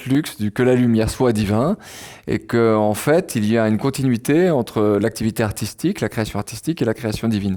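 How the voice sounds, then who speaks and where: The recording is very clean, with a silent background. A man speaks at a moderate pace in a medium pitch with a dark, mellow tone. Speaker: philosopher and writer. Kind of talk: public lecture. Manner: hesitant with fillers and repeats.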